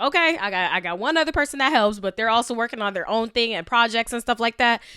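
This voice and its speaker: Loud and animated, with a bright, sharp tone on a very clean recording against a silent background. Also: woman. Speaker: podcast host. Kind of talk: casual monologue.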